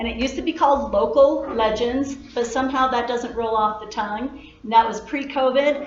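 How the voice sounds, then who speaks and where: The voice moves at a fairly quick pace with hardly any pauses and ordinary pitch variation. Noticeable background noise runs underneath. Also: woman, high pitch for a woman. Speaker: library staff, program host. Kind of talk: event introduction.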